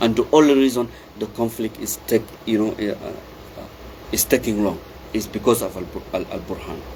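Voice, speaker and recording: A man at medium pitch and a moderate pace, with long, frequent pauses and noticeable background noise. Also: ordinary pitch variation. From Darfur, Sudan. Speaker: activist commentator. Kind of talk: impassioned political monologue. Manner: loud; halting, repetitive.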